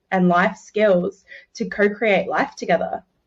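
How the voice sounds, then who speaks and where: Medium-pitched female voice in an Australian accent. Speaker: relationship coach. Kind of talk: interview.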